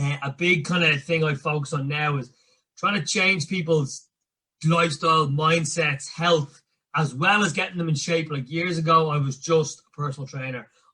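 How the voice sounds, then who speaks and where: A man with a Dublin accent speaks at a moderate pace in a fairly high voice, his intonation fairly even. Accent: Dublin Irish. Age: 30s. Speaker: personal coach. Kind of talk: podcast interview. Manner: casual.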